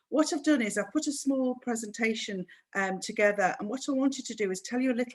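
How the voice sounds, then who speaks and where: This is a woman with a Manchester accent. Her pace is fairly quick. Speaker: cruise sales manager. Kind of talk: webinar presentation.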